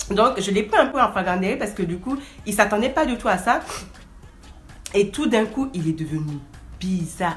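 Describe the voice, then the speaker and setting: A woman speaks in an animated, lively-inflected voice at a moderate pace, with long, frequent pauses and music playing behind her. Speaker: vlogger. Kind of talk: storytime.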